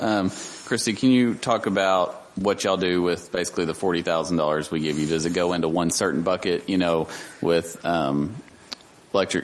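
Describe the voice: The speaker moves at a fairly quick pace while the intonation stays fairly even. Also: man.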